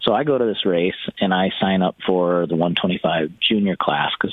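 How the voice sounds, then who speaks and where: This man's voice sits very deep and low in pitch, moving at a fairly slow pace. Noticeable background noise runs under the recording. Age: 30s. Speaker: retired pro motocross racer. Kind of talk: casual chat. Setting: phone call.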